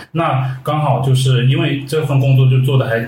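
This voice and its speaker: With a Guangdong accent, a man speaks at a medium pitch and fairly even intonation, with audible room echo around him. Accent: Guangdong-accented Mandarin. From Guangdong, China. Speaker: fashion and food blogger. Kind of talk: casual chat.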